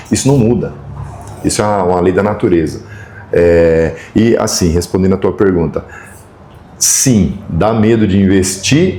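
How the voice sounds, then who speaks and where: The speech runs at a moderate pace. There is audible room echo along with noticeable background noise. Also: man. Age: 60s. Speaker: equipment rental company professional. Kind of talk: podcast interview. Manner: halting.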